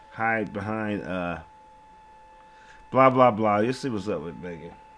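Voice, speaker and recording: Over noticeable background noise, a man speaks at a fairly slow pace with a fairly low pitch, lively intonation and big swings in loudness. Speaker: true crime commentator. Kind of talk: casual commentary. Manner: halting.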